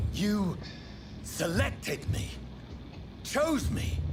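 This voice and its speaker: A man puts on a character voice over loud background noise. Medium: video game. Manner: brooding, earnest.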